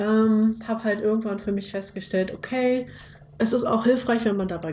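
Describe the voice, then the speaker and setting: A woman at a moderate pace, fairly high in pitch with ordinary pitch variation, over noticeable background noise. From Lower Saxony, Germany (Bad Pyrmont near Hanover). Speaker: podcast co-host, marketing consultant. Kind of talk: casual interview.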